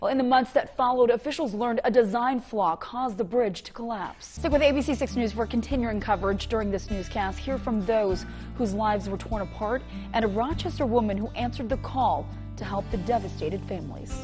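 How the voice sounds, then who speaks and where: Music is playing behind the voice. The talking runs at a fairly quick pace. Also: woman, fairly high pitch for a woman, ordinary pitch variation. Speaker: news anchor and reporter. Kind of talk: TV news anchor read.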